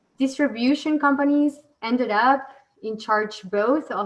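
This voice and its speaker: This woman has a normal speaking voice, moving at a moderate pace with ordinary pitch variation. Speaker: event moderator. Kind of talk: panel moderation with briefing.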